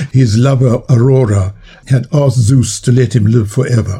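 Somewhat breathy and dark and mellow in tone, a man speaks at medium pitch and a moderate pace. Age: 80s. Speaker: biologist and author. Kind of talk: interview.

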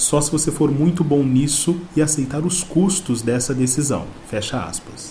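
Hardly pausing, a man with a fairly high pitch talks at a fairly slow pace. His pitch varies in an ordinary way, with noticeable background noise behind him. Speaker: podcast host. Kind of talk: scripted narration. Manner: formal.

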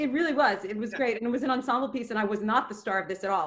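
A woman speaks with an American accent and lively intonation. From New York (Queens). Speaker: storyteller, theater actress and dancer. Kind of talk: personal storytelling.

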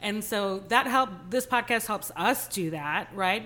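With a Texan accent, a woman speaks in a bright, sharp, animated tone with ordinary pitch variation, in a very clean recording with a silent background. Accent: American, Texan. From US Texas, Guyanese family. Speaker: podcast co-host. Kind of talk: casual chat. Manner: animated, laughs often.

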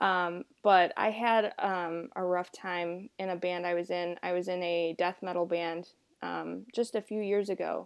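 A woman's fairly low, monotone, flat voice in an American accent, at a fairly slow pace with hardly any pauses, on a very clean recording with a silent background. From US South, South Carolina. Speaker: guest host and musician. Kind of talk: casual interview conversation.

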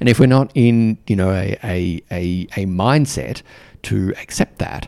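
Fairly low for a man, the voice is warm, dark and mellow, with ordinary pitch variation and a dry, close sound with no echo. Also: very clean recording, silent background. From Australia. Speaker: podcast host and mentor for diplomats. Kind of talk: solo podcast monologue. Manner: filler-heavy, warm, conversational.

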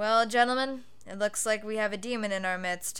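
Putting on a gruff character voice, a woman speaks fairly quickly at a fairly high pitch. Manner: gruff, steady, weary.

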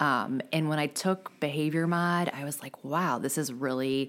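In an American accent, a woman speaks with a very deep, low pitch at a moderate pace. Her pitch variation is ordinary. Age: 40s. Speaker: special education teacher. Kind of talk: casual interview.

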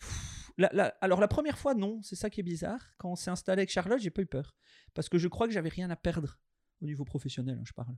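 At a very fast pace, a man with a high pitch speaks with lively intonation in a dry, close sound with no echo on a very clean recording with a silent background. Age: 30s. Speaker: chocolatier. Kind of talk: interview testimony.

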